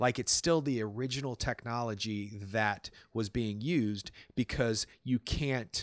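Against a quiet background with a dry sound and no echo, a man talks at a fairly slow pace with ordinary pitch variation. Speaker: actor; podcast host. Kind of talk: casual podcast talk. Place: home room.

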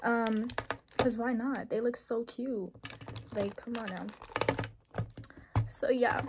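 A woman's high voice keeps fairly even intonation against noticeable background noise. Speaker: nail artist vlogger. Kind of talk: casual haul vlog chat. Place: home room. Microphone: phone near.

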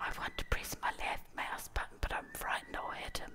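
At a moderate pace, a woman whispers. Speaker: ASMR YouTuber. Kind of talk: ASMR gameplay commentary. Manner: whispered. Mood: playful, amused, slightly unsure. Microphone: studio mic.

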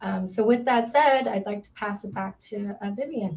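A woman with an American accent at a moderate pace. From US Pacific Northwest, Seattle. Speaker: parks and recreation director, moderator; moderator. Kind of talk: panel moderation.

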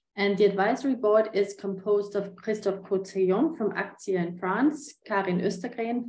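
A woman speaks at a moderate pace with ordinary pitch variation and a dark, mellow tone. Audible room echo surrounds the voice. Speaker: conference presenter. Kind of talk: presentation. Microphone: webcam.

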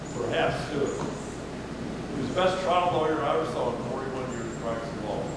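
A man speaks over loud background noise with audible room echo. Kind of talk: public talk, reminiscing. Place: hall. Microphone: camera far.

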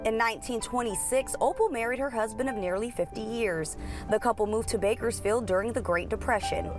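A woman speaks at a fairly quick pace with music playing in the background. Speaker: TV news reporter. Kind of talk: TV news package narration.

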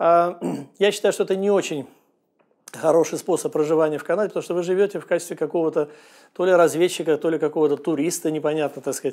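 Speaking at a very fast pace in a high voice for a man, he keeps a fairly even intonation against a quiet background. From Russia. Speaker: real estate agent; immigrant vlogger answering questions. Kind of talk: vlog monologue. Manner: hesitant, filler-heavy. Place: studio. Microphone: lapel.

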